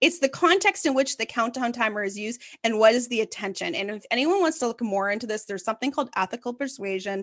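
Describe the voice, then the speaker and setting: A woman's very fast, fairly high-pitched speech with lively intonation and a Canadian accent, dry and close with no echo over a quiet background. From Ottawa, Canada. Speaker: content marketing agency founder. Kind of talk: casual interview.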